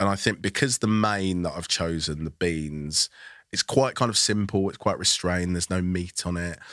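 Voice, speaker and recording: In a London accent, a man with a very deep, low pitch speaks with ordinary pitch variation, the sound dry and close with no echo. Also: moderate pace, very clean recording, silent background. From London, Nigerian background. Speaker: food critic and author. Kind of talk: casual chat. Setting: studio.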